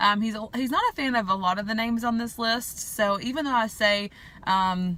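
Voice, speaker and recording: A woman talks with a strong Southern US accent and ordinary pitch variation. Background noise is noticeable. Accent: strong southern drawl. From US South. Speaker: vlogger. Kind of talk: casual vlog talk. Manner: casual with many fillers.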